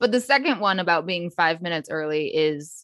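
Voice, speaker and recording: A woman with a fairly low pitch speaks in an ordinary speaking voice at a moderate pace, her intonation lively. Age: 30s. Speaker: podcast co-host. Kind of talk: casual chat.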